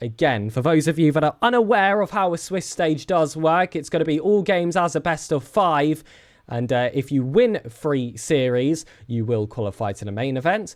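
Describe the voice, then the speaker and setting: In a British accent, an animated tone carries at a moderate pace over a very clean recording with a silent background. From Britain. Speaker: esports caster. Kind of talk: live commentary. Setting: live stream.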